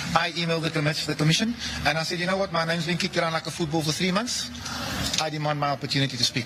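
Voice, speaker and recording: A very fast-talking man with a fairly high pitch and ordinary pitch variation, over noticeable background noise. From South Africa, Cape Flats, Western Cape. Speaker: political party leader and witness. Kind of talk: news interview.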